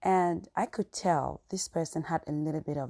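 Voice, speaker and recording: A woman with an African accent talks at a very slow pace in a very deep, low voice with a dark, mellow tone. Her pitch varies in an ordinary way, and the sound is dry and close with no echo. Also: quiet background. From Cameroon. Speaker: podcast host. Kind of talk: casual storytelling monologue.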